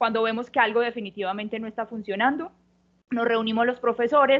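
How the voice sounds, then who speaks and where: With a Colombian paisa accent, a woman talks at a very fast pace in a fairly high pitch and fairly even intonation. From Colombia, Antioquia (paisa). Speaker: university professor. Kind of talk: panel discussion. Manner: hesitant, many fillers.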